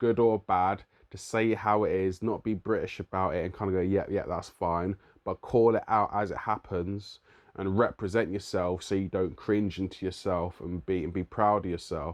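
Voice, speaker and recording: A man speaks in a London accent. His pitch is fairly low and his intonation fairly even. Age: 30s. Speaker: musician and youth worker. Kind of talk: vlog monologue.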